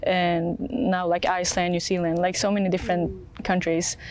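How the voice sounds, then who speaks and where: A woman at medium pitch talks with monotone, flat intonation. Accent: Swedish. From Sweden. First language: Swedish. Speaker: college athlete. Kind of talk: interview. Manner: hesitant, many fillers.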